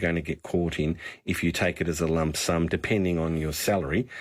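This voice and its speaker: A very clean recording with total silence behind it, featuring a man in an Australian accent at a moderate speed. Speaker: financial adviser. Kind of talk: talkback radio advice.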